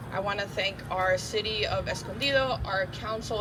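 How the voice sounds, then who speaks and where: A woman at a medium pitch is heard with audible room echo and noticeable background noise. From Miami, Florida. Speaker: congressional staff representative. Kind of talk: public speech at a ceremony.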